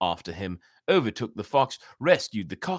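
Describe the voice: The recording captures plain reading aloud.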